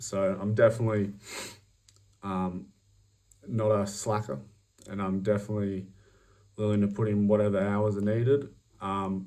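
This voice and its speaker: This voice has a dark, mellow tone and an Australian accent, with fairly even intonation. It moves at a moderate pace with long, frequent pauses amid audible room echo. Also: man, fairly low pitch for a man. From Australia, outback. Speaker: job applicant. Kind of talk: recorded job application video. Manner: hesitant, many fillers.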